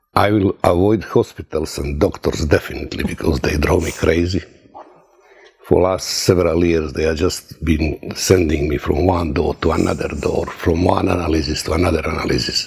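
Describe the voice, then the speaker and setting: Speaking with a Croatian accent, a man has a very deep, low pitch and fairly even intonation. His pace is moderate, and there is noticeable background noise. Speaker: testimonial giver, former sailor. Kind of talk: testimony. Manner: halting.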